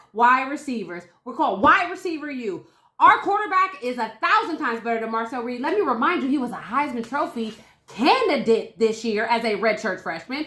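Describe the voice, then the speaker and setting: In a raised, projected voice, a woman talks at a fairly quick pace with an animated tone, a high pitch and very wide pitch swings. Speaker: sports podcast host. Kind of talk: casual debate. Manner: loud.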